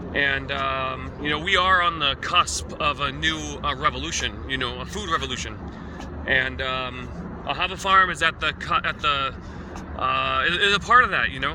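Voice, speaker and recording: There is noticeable background noise. A man speaks through it at a moderate pace. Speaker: farmer. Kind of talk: casual video update. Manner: halting, many fillers.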